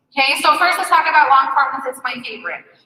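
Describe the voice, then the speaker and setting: A woman projects her voice loudly at a high pitch. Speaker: social media marketing speaker. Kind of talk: conference presentation. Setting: stage with audience. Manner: fast.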